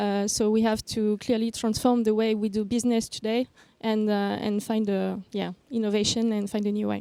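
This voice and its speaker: Fairly high in pitch with a dark, mellow tone, a woman speaks at a moderate pace in monotone, flat intonation, with a dry, close sound and no echo. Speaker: NGO founder and director. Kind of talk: panel discussion. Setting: stage with audience. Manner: halting, many fillers.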